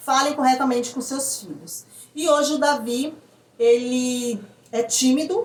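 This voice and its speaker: A woman with a high voice speaks with long, frequent pauses, ordinary pitch variation and big swings in loudness. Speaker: parent vlogger. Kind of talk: casual explainer vlog. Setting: at home. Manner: fast.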